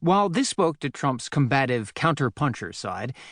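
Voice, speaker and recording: A man speaks at a moderate pace in a fairly high voice with lively intonation and an unremarkable speaking voice. The sound is dry and close with no echo, over a quiet background. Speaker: audiobook narrator. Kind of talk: audiobook narration.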